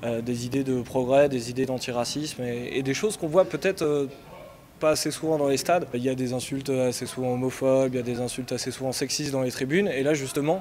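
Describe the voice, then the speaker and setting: A man rattles along very fast at a medium pitch, his intonation fairly even. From Yvelines, France. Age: 30s. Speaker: football supporter, political activist. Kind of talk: interview.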